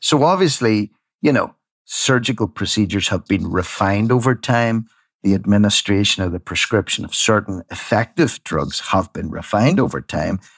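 In a plain, everyday voice, a man speaks at a moderate pace and fairly low pitch with lively intonation, the sound dry and close with no echo over a quiet background. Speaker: radio presenter. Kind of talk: casual interview chat.

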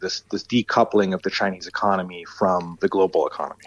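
Fairly quick and with fairly even intonation, a man speaks. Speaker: market research director. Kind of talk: interview. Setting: remote link from Shanghai. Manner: hesitant, filler-heavy.

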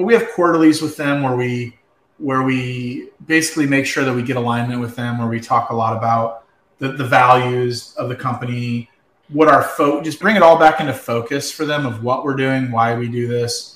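At a moderate pace, a man with an American accent speaks at medium pitch with fairly even intonation. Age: 40s. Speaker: cleaning business co-founder. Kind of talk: casual chat.

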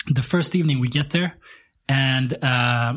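Talking fairly slowly, the man has a somewhat breathy voice. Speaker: podcast host. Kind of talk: casual chat.

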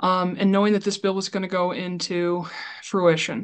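A woman with a Midwestern American accent. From Iowa, US Midwest. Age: 30s. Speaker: librarian and library advocate. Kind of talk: casual chat. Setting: video call. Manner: animated.

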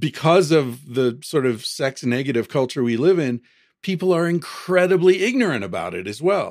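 In an American accent, a man talks at a moderate pace. His fairly high voice moves through very wide pitch swings. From United States. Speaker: author. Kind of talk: interview conversation.

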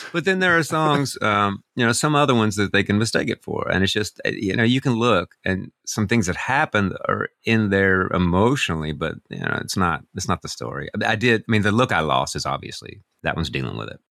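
Speaking at a fairly quick pace with an American accent, a man with a fairly low pitch, a bright, sharp tone and vocal fry makes very wide pitch swings, recorded very cleanly against a silent background with a dry, close sound and no echo. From US South. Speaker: singer-songwriter. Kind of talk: casual chat.

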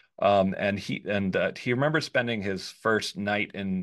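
A man speaks with an American accent in a fairly low-pitched voice. The background is quiet. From New York suburbs. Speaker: free speech lawyer and advocacy group director. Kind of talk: interview conversation. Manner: fast.

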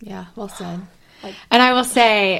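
A woman with an American accent speaks at a fairly quick pace with ordinary pitch variation in a plain, everyday voice. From South Carolina. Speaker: podcast co-host. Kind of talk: casual chat.

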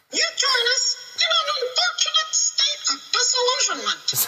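A squeaky, put-on character voice talks at a fairly slow pace. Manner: formal, solemn yet comic.

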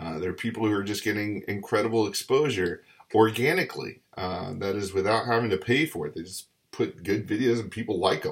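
This somewhat breathy voice moves at a fairly quick pace with ordinary pitch variation. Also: man, fairly low pitch for a man. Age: 40s. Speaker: podcast host. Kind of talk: solo commentary. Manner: casual, many fillers.

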